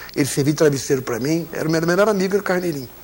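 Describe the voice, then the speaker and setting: Through noticeable background noise, a man talks very fast with lively intonation. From Brazil. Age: 60s. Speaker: broadcaster. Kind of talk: interview.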